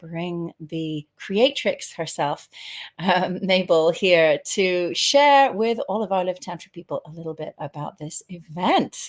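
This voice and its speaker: A woman with a British accent. Her pitch sits in the medium range. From Britain. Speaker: tantra teacher and host. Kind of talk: casual interview.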